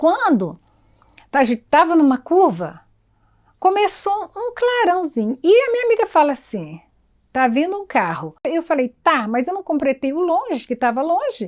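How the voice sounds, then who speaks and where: A woman with an extremely high pitch talks at a fairly slow pace, her pitch swinging very widely. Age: 70s. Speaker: cultural figure. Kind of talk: documentary interview. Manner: halting.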